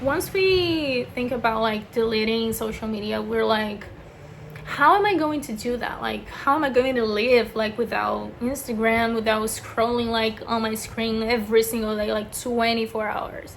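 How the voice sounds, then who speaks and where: Speaking with a Brazilian accent, a woman uses a fairly high pitch, ordinary pitch variation and a moderate pace, with audible room echo and noticeable background noise. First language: Portuguese. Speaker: beauty vlogger. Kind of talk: casual chat. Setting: bedroom. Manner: casual, filler-heavy (lots of 'like').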